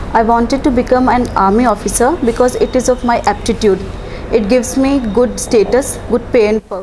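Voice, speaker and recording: A woman talks at a high pitch with fairly even intonation over noticeable background noise. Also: moderate pace. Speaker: officer candidate student. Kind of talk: interview.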